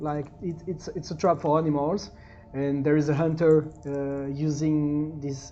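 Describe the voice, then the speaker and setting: With music in the background, a woman with a very deep, low pitch speaks at a fairly slow pace. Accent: French. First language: French. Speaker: tabletop gaming YouTuber. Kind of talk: solo game play-through with reading aloud. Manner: animated; halting.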